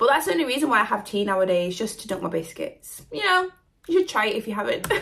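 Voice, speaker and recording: A woman with a British accent talks very fast at a fairly high pitch, her voice making very wide pitch swings. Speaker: reaction video creator. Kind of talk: casual chat. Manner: animated.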